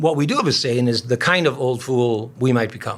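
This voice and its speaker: A man with an unremarkable speaking voice talks at medium pitch and a fairly quick pace, with ordinary pitch variation. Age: 60s. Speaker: pastor. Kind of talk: interview conversation.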